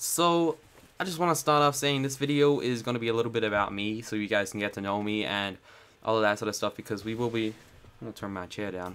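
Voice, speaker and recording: A man with an American accent talks very fast in a medium pitch, his tone upbeat and his pitch varying in an ordinary way. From United States (raised there from age three). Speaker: YouTuber. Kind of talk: casual vlog talk.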